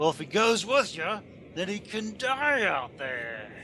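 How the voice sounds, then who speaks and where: A growling, put-on character voice speaks at a fairly slow pace with very wide pitch swings, over clear background noise. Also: man, high pitch for a man. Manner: growling, threatening.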